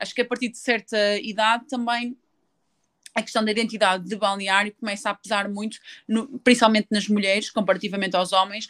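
At a moderate pace, a woman speaks with medium pitch. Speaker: handball player. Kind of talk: interview. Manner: hesitant, many fillers.

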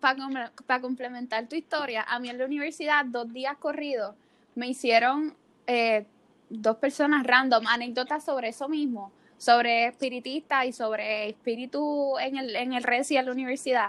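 On a very clean recording with a silent background, a woman with a high pitch talks at a moderate pace with fairly even intonation. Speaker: podcast host. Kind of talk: casual chat.

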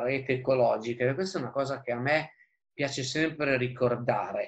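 A man with an unremarkable speaking voice, fairly high pitch and a moderate pace. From northern Italy, Busto Arsizio (Lombardy). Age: 40s. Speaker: environmental lawyer and political activist. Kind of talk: interview.

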